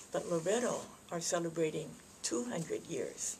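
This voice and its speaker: Soft-spoken woman at a fairly slow pace, medium in pitch, over noticeable background noise. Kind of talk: greeting message to camera.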